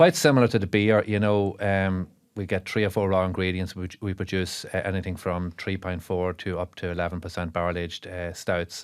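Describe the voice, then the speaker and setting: A man with an Irish accent and a very deep, low pitch, fairly quick with hardly any pauses and fairly even intonation, in a very clean recording with a silent background. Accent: Monaghan Irish. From Ireland, south Monaghan. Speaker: brewer and dairy farmer. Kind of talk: podcast interview. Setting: studio. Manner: hesitant, many fillers and repeats.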